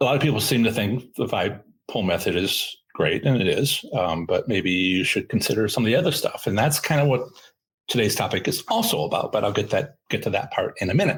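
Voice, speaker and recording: Over a silent background in a very clean recording, a man talks at a fairly quick pace. His loudness stays very even. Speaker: podcast host. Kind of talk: live stream talk. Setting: live stream. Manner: fast; halting.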